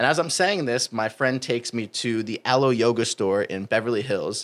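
In a very clean recording with a silent background, a man with a normal speaking voice talks fairly quickly at medium pitch in an American accent. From US Northeast (New Jersey). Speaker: fitness coach. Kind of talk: casual interview chat.

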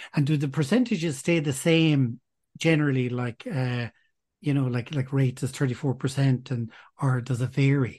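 Over a quiet background, a man with a somewhat breathy voice speaks at medium pitch and a moderate pace. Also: ordinary pitch variation. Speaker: podcast host. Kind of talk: interview, scripted intro.

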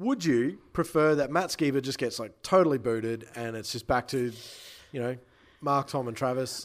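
On a very clean recording with a silent background, a man with an Australian accent speaks at a medium pitch and moderate pace, with ordinary pitch variation. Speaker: music PR owner and podcast host. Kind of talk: casual chat.

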